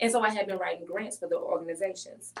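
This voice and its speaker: This woman speaks with a St. Louis accent. Her pitch sits fairly high. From St. Louis, Missouri, US Midwest. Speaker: business consultant and grant writer. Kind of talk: podcast interview. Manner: energetic.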